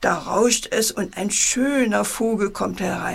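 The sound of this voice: The speech is an unforced reading voice with ordinary pitch variation.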